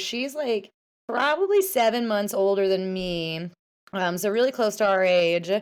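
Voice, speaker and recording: An unremarkable speaking voice from a woman, moderate pace and lively intonation, on a very clean recording with a silent background. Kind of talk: casual interview chat.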